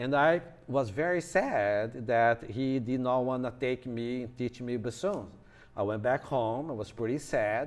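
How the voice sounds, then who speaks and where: He speaks in a Brazilian Portuguese accent at a fairly slow pace. The man's pitch variation is ordinary. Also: medium pitch for a man. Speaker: music professor. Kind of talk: lecture. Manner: halting.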